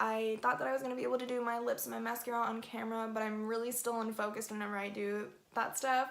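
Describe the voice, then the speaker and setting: Amid noticeable background noise and audible room echo, a woman with a fairly high pitch talks very fast. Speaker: beauty vlogger. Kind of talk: casual makeup chat to camera.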